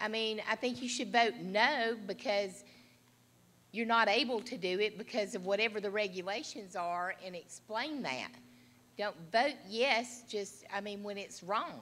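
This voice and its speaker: Speaking with an American accent, a woman with a fairly high pitch and a bright, sharp tone goes at a fairly slow pace with ordinary pitch variation. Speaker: county commissioner. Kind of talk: audience comment. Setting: conference room with audience.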